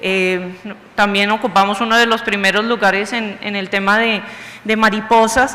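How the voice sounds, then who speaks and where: A woman with a Bogotá accent speaks at a moderate pace and medium pitch in a monotone, flat intonation. Noticeable background noise and audible room echo fill the recording. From Bogotá, Colombia. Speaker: university vice-rector, lecturer. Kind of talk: lecture.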